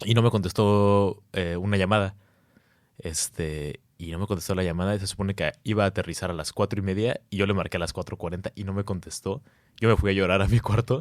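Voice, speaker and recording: At a fairly quick pace, a man with a Mexican accent speaks in a fairly low pitch. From Mexico. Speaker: university student. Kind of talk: casual chat.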